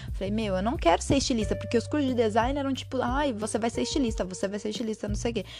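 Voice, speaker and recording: With music playing in the background, a woman rattles along at a very fast pace with hardly any pauses. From Brazil, São Bernardo do Campo (São Paulo region). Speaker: podcast host. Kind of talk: solo monologue, personal storytelling. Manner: casual, hesitant with many fillers.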